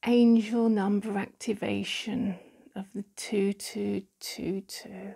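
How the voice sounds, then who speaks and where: A soft-spoken woman talks in a calm, somewhat breathy voice with a dark, mellow tone. Her intonation is fairly even, and the background is quiet. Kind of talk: guided Reiki meditation, ASMR healing session. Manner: soft-spoken, slow, calm. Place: home room. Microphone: phone near.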